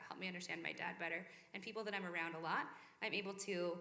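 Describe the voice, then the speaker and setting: A woman speaks at a very fast pace in a medium-pitched voice with a bright, sharp tone, and audible room echo surrounds her. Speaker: church young adults speaker. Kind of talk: sermon-style talk to young adults group. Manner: animated.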